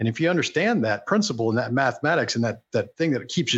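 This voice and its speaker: A man with an American accent speaks in a medium pitch with lively intonation. His is an unremarkable speaking voice. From Houston, Texas. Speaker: entrepreneur and business mentor. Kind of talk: interview conversation.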